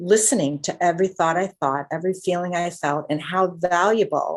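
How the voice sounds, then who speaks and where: A woman with an unremarkable speaking voice, fairly low-pitched, fairly quick in pace and fairly even in intonation. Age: 60s. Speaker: guest sharing healing story. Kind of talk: testimony.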